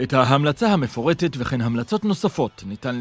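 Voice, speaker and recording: This man's fairly high voice makes very wide pitch swings at a moderate pace. The recording is very clean, with a silent background. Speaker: narrator. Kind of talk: explainer video narration.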